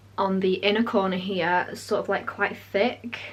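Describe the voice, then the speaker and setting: Over noticeable background noise, a woman with a British accent talks at a medium pitch. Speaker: makeup artist. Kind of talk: tutorial. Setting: home, changed location. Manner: fast.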